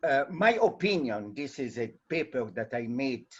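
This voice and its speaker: A man speaks very slowly in a Portuguese accent. His intonation is lively. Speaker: audience member asking a question. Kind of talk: Q&A question in a webinar. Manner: halting.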